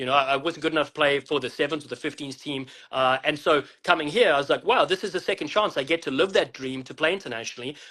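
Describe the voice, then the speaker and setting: The speaker has a South African accent and a bright, sharp tone, talking very fast with hardly any pauses. Pitch variation is ordinary and the background is quiet. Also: man, fairly high pitch for a man. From South Africa, Western Cape. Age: 40s. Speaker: rugby commentator and former player. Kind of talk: interview.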